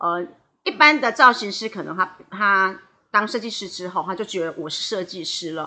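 A woman speaks at a moderate pace. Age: 50s. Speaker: hairdresser and salon owner. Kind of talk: interview. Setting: podcast recording. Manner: fluent.

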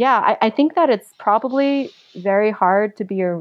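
A woman's fairly high voice with a New York accent. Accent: New York American English. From New York City (Queens). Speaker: traveler. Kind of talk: interview.

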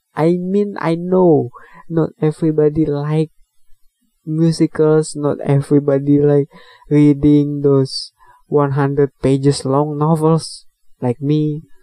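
Speaking at a very slow pace, a man with an Indonesian accent uses a dark, mellow tone and monotone, flat intonation. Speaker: podcast host, movie and book reviewer. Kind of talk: casual solo podcast monologue reviewing a film. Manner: halting, hesitant with many fillers; apologetic about English, laughs often.

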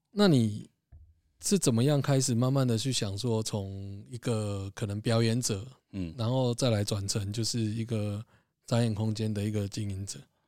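Fairly low in pitch with a dark, mellow tone, a man speaks with fairly even intonation. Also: moderate pace. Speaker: podcast host and music label founder. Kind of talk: casual chat.

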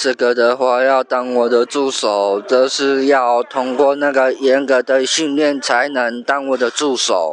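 Over noticeable background noise, a man at a medium pitch speaks very slowly with very even loudness, fairly even intonation and hardly any pauses. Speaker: university student and street performer. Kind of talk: interview.

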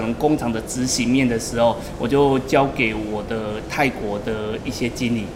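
A man at medium pitch speaks at a fairly slow pace with ordinary pitch variation. Audible room echo and noticeable background noise are present. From Taiwan. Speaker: entrepreneur, labor recruitment agency owner. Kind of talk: interview. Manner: halting.

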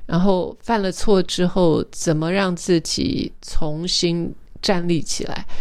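A woman's fairly low voice at a very slow pace, with fairly even intonation and noticeable background noise. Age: 50s. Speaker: podcast host. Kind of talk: personal reflective monologue.

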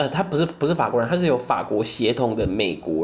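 The speaker has a Taiwanese accent. The pace is fairly quick. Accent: Taiwanese Mandarin. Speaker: podcast co-host. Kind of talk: casual solo chat.

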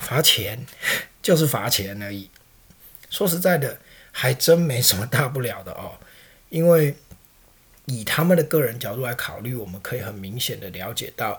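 A man speaks at a moderate pace and medium pitch in a Taiwanese accent. His loudness swings widely, and he leaves long, frequent pauses. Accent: Taiwanese Mandarin. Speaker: podcast host. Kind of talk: political commentary monologue. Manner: conversational, frequent filler particles.

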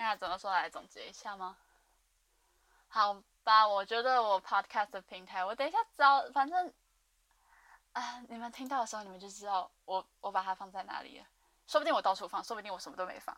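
Woman's fairly high, bright, sharp voice, fairly quick yet broken by long, frequent pauses, with big swings in loudness, ordinary pitch variation and a dry, close sound with no echo. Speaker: podcast host. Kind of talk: casual monologue. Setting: dorm room, alone. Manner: rambling fast talk.

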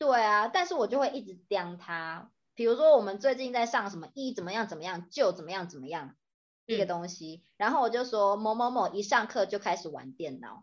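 Using a normal speaking voice, a woman talks at a fairly quick pace and medium pitch, with lively intonation and big swings in loudness against a quiet background. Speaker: podcast co-host, Chinese tutor. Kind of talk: casual chat.

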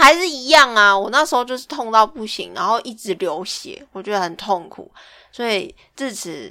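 Over a very clean, silent background, a woman with a bright, sharp tone and fairly high pitch talks at a moderate pace, her pitch swinging very widely and her loudness shifting a lot. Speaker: podcast co-host. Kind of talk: casual chat.

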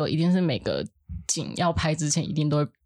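A woman with a fairly low pitch. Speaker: film art department assistant. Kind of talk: casual chat.

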